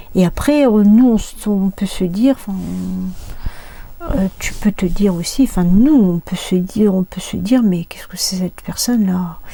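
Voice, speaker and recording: Soft-spoken, a woman talks at a fairly slow pace. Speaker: life coach. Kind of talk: casual vlog talk. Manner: soft-spoken, talks quietly; hesitant, many fillers.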